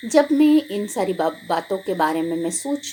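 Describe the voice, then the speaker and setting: A woman's medium-pitched voice with a Gujarati accent and very wide pitch swings, set against noticeable background noise. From Gujarat, India. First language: Gujarati (speaking Hindi). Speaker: pastor. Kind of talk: sermon. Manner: halting.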